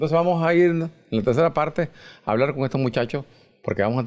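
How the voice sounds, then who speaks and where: A man with a Nicaraguan accent against a quiet background. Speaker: TV show host. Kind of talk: TV interview show host, introducing guests. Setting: studio. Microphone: handheld.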